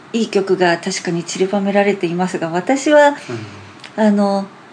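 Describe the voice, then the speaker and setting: Noticeable background noise behind a fairly slow, medium-pitched female voice. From Japan, Hamamatsu (Shizuoka), with four childhood years in the US. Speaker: classical pianist. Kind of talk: casual interview. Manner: laughs often.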